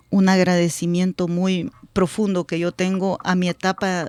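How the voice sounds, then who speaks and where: The sound is close and dry, free of any echo. A woman talks fairly slowly. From El Salvador, rural area near Suchitoto. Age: 40s. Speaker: politician. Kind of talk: radio interview. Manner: halting, with many fillers and repetitions.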